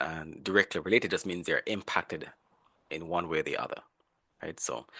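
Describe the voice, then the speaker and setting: A man talks at a fairly quick pace. The sound is dry and close with no echo, over a quiet background. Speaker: professor. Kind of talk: lecture. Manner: fast.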